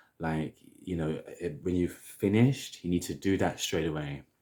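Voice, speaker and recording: In a London accent, a man talks with a very deep, low pitch. The recording is very clean, with a silent background. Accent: British (London). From London, England. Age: 30s. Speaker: hair vlogger. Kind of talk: casual vlog tutorial.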